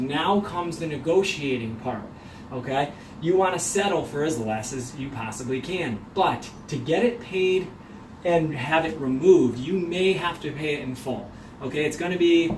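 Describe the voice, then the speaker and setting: A man's fairly high-pitched voice with ordinary pitch variation, plus noticeable background noise and audible room echo. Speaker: mortgage professional. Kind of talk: video tutorial. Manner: fast.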